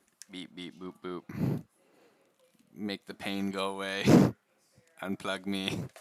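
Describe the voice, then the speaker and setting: A man's robotic, put-on character voice, fairly low in pitch, monotone and flat, at a fairly slow pace with long, frequent pauses. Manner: bad impression, playful.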